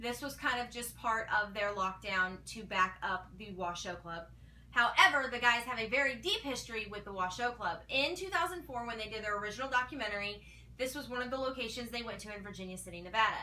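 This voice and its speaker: With lively intonation, this woman speaks at a fairly quick pace. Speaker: paranormal show fan vlogger. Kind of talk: casual vlog commentary. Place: home room. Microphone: camera far.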